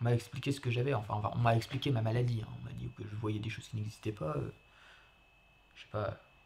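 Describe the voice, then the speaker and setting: Talking at a very fast pace, a man uses a medium pitch with ordinary pitch variation. Vocal fry is present in his voice. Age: 40s. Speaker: foyer resident. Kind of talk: testimony. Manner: halting.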